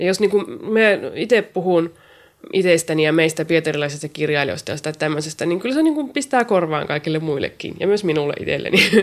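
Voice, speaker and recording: A woman's ordinary speaking voice, fairly low in pitch, with lively intonation and a fairly quick pace. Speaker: poet and writer. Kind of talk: interview.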